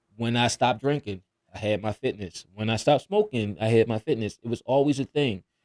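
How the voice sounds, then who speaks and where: The man's voice has ordinary pitch variation and a fairly quick pace, with a dry, close sound and no echo. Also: medium pitch for a man. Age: 40s. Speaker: natural pro bodybuilder. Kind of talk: podcast interview, personal story. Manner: casual, halting with repetitions.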